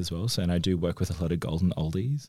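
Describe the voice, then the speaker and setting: Speaking very fast with an Australian accent, a man has a very deep, low voice with a dark, mellow tone and ordinary pitch variation. The recording is very clean, with a silent background. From Northern Territory, Australia. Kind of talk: casual group conversation.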